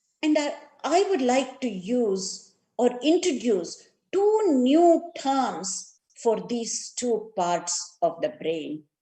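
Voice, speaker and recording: A woman's fairly high, dark, mellow voice with very wide pitch swings, in a South Indian accent. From India, Karnataka. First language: Kannada. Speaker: neuroscience and yoga educator. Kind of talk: lecture.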